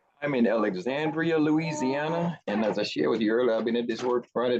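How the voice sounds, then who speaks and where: A plain, everyday voice, fairly quick, with lively intonation and very even loudness. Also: man. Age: 60s. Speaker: appliance repair technician. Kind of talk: virtual group discussion.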